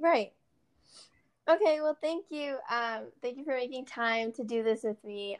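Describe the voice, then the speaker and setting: A woman with an American accent talks at a moderate pace in a plain, everyday voice. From US, Portland, Oregon. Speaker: podcast host, aspiring medical student. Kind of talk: interview. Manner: casual, filler words.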